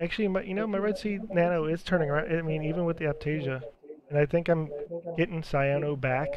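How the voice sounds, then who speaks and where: At a fairly quick pace, a man delivers his words. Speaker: aquarium hobbyist streamer. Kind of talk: casual live stream chat. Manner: monotone. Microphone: bad microphone, poor sound.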